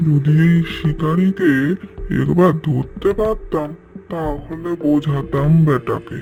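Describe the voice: A man puts on a cartoonish character voice pitched fairly high. He speaks at a very slow pace.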